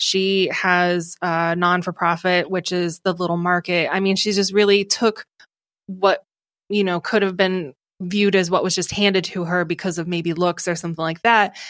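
On a very clean recording with a silent background, a woman with an American accent speaks at a moderate pace in a medium pitch, her intonation monotone and flat. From Ohio. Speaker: podcast studio founder. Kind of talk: casual interview chat.

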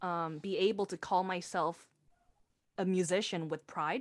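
A woman's fairly slow, medium-pitched speech in a Korean accent, in a very clean recording with a silent background. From South Korea. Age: 20s. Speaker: singer-songwriter and theater director. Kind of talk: interview.

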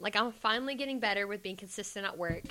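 Her bright, sharp tone carries ordinary pitch variation as the woman talks. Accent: Georgia. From Georgia, US South. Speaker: guest, club dancer and student. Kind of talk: casual chat interview.

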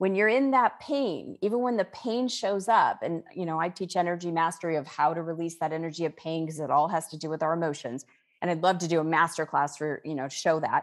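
Against a quiet background, a woman with an ordinary speaking voice talks fairly quickly at a fairly low pitch, with lively intonation and hardly any pauses. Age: 50s. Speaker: author and spiritual teacher. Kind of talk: interview.

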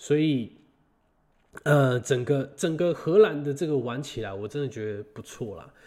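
The voice carries a dark, mellow tone with lively intonation. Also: man, fairly high pitch for a man. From Taiwan. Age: 20s. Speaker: podcast host. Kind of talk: casual solo monologue. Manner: halting, many fillers and repetitions.

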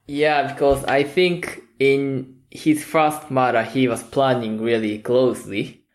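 A man with a Japanese accent at a very slow pace and medium pitch, with hardly any pauses, very even loudness and fairly even intonation. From Japan, Kyoto. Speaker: film podcast guest. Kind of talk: casual chat.

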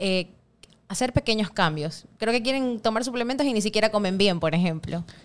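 A woman with a normal speaking voice talks at a fairly quick pace in a fairly high pitch, her loudness very even and her intonation lively. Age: 30s. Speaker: CrossFit gym co-owner. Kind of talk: casual interview.

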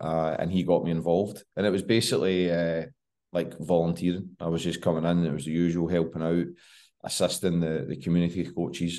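A man's very deep, low voice with a Scottish accent and a dark, mellow tone, fairly quick in pace, fairly even in intonation, over a quiet background. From West of Scotland. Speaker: football coach. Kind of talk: podcast interview. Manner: hesitant, many fillers.

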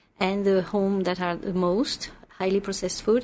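In a very clean recording with a silent background, a woman with a French accent speaks at medium pitch. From France. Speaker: nutritionist. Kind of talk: interview. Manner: halting.

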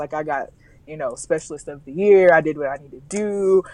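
Against a quiet background, a woman with an American accent speaks with fairly even intonation. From US South, Alabama. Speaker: travel blogger and corporate professional. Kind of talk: casual interview conversation.

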